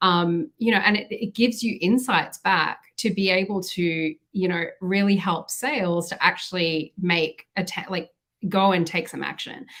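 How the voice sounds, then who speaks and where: Speaking in an Australian accent, a woman uses a medium pitch. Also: ordinary pitch variation, moderate pace. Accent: Australian, noticeable. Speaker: marketing executive. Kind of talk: podcast interview.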